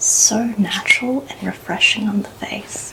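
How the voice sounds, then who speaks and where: A whisper against noticeable background noise. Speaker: makeup content creator. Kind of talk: ASMR makeup tutorial. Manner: soft-spoken.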